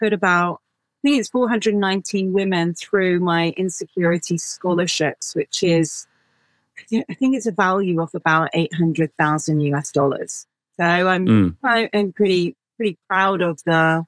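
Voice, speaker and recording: A woman's fairly low-pitched voice with ordinary pitch variation, dry with no echo, against a quiet background. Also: fairly slow pace. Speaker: podcast guest. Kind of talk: interview answer. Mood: warm, proud. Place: home room.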